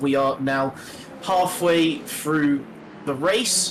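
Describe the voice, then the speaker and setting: Noticeable background noise behind a man's fairly high voice with ordinary pitch variation. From Britain. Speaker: sim racing commentator. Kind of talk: live commentary.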